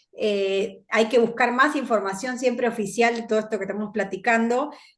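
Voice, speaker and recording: This woman talks at a moderate pace in a normal speaking voice. Her pitch is fairly high, with ordinary variation. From Argentina. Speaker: podcast host. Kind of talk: interview podcast.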